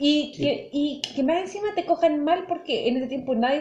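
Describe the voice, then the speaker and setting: A woman's high voice moves along at a moderate pace. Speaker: podcast co-host. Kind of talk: casual chat.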